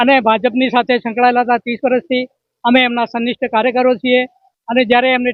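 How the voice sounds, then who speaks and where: A man is speaking. His pitch is extremely high. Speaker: retired bank employee, party worker. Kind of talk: street interview at protest.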